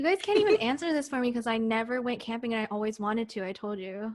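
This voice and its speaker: A woman talks at a fairly quick pace and a fairly high pitch. She has an ordinary speaking voice. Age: 20s. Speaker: podcast co-host. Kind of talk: casual chat.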